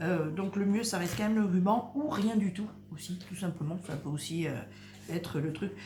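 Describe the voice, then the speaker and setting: Soft-spoken, a woman talks with ordinary pitch variation. Audible room echo and noticeable background noise surround her voice. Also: medium pitch for a woman, moderate pace. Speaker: crafts youtuber. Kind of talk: tutorial. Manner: hesitant.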